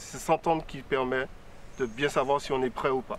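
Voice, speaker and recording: Here a man speaks with a fairly high pitch. His intonation stays fairly even. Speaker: student. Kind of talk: studio discussion. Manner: fast.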